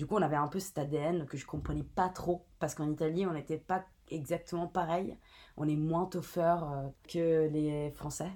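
With a very deep, low pitch and a dark, mellow tone, a woman speaks fairly slowly in a monotone, flat intonation, in a very clean recording with a silent background. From Italy. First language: Italian (speaking French). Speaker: brand content and community manager. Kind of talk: interview. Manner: casual, with fillers.

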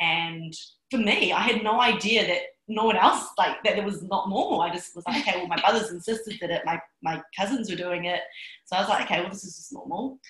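A woman's medium-pitched voice in a New Zealand accent, with ordinary pitch variation and big swings in loudness. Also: fairly quick pace. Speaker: success coach. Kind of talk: interview. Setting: Bali.

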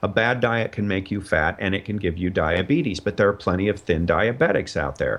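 A man talks at a fairly quick pace with fairly low pitch, ordinary pitch variation, hardly any pauses and an unremarkable speaking voice. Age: 50s. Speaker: comedian and documentary filmmaker. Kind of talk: interview.

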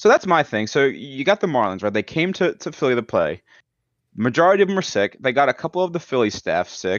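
A man talks at a very fast pace in a fairly high pitch, with vocal fry. His pitch swings very widely. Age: 20s. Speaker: gaming podcast host. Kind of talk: casual chat.

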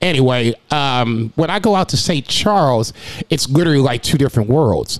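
Here a man talks at a moderate pace with very even loudness. His fairly high voice has lively intonation. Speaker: restaurant server and podcast host. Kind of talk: casual monologue.

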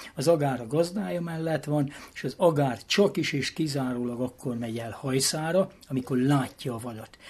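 A man speaks in a fairly high voice. His delivery is somewhat breathy. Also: ordinary pitch variation, moderate pace, big swings in loudness. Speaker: former president of a greyhound hunting association. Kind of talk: interview. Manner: animated.

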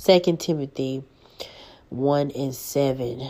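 A woman's voice sits very deep and low in pitch, with a dark, mellow tone. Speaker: online preacher. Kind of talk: informal sermon.

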